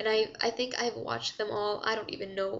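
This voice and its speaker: A woman with a non-native accent speaks at a fairly high pitch with fairly even intonation. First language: not English. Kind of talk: casual talk to camera. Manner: hesitant, rambling.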